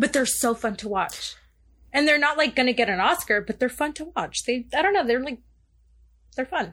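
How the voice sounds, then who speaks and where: High-pitched woman's voice in a Southern California accent, bright and sharp in tone, with lively intonation and long, frequent pauses. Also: moderate pace. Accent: Valley Girl. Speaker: fellow podcaster guest. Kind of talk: casual chat. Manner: frequent filler 'like'.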